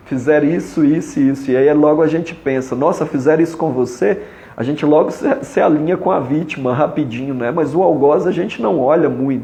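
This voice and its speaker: Speech at a fairly quick pace with ordinary pitch variation comes through audible room echo and noticeable background noise. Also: man, fairly high pitch for a man. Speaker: family constellation therapist. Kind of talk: live stream talk. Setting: Instagram live.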